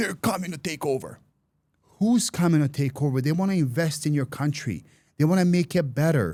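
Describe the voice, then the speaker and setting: Fairly quick, somewhat breathy speech from a man, fairly high-pitched with a dark, mellow tone and ordinary pitch variation. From Serbia. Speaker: podcast host. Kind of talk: casual interview chat.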